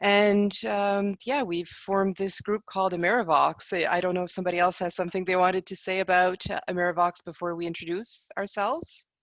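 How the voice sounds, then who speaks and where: With a French accent, the speaker keeps a fairly quick pace and hardly any pauses. The intonation is fairly even. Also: woman, medium pitch for a woman. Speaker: conference interpreter. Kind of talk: panel presentation.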